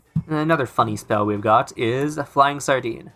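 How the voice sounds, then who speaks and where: Music plays in the background as a man speaks. His pitch variation is ordinary. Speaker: gaming video creator. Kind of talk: casual gaming commentary. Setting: recorded under a blanket at home. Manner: casual, sarcastic, hesitant with fillers.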